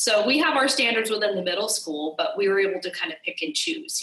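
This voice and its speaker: Speech comes at a fairly quick pace with an American accent and lively intonation. Noticeable background noise can be heard behind it. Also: woman. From California. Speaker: middle school teacher. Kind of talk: interview.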